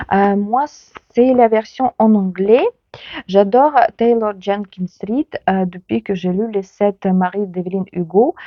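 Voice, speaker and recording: Music plays in the background as a woman speaks very slowly in a Ukrainian accent. Her pitch is medium with ordinary variation. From Ukraine. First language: Ukrainian (speaking French). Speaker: book vlogger. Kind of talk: casual book talk to camera. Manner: hesitant, many fillers.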